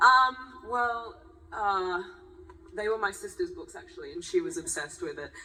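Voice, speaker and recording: A woman uses a raised, projected voice with a bright, sharp tone and high pitch. At a moderate pace she makes very wide pitch swings and big swings in loudness, with long, frequent pauses. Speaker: actress. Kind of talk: panel discussion. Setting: stage with audience.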